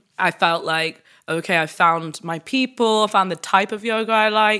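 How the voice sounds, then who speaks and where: A woman with a British accent, a bright, sharp tone and fairly even intonation, on a very clean recording with a silent background. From UK. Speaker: yoga practitioner and content creator. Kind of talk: interview.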